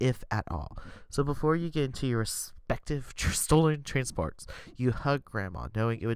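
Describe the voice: This is plain reading aloud. Nothing else is notable.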